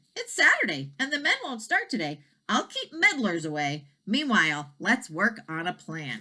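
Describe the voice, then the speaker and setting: A woman uses a put-on character voice. She speaks at a moderate pace with a medium pitch. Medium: read story.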